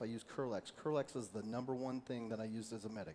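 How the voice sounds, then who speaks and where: Very fast and with monotone, flat intonation, a man speaks. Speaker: former military medic, first aid instructor. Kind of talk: training workshop.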